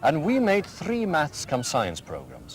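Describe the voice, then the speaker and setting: A man talks with a Welsh accent. Noticeable background noise sits behind him. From Wales. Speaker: school headmaster. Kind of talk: interview.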